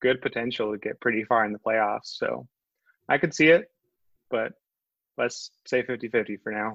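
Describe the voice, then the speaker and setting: An unremarkable speaking voice moves at a moderate pace with fairly even intonation, sounding dry and close with no echo, over a quiet background. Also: man. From northwest Georgia, US South. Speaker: sports writer. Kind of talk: casual chat.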